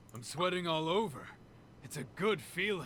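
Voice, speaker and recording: A man puts on a character voice, raspy and high-pitched for a man, with lively intonation at a moderate pace over clear background noise. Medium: video game. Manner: blunt, earnest.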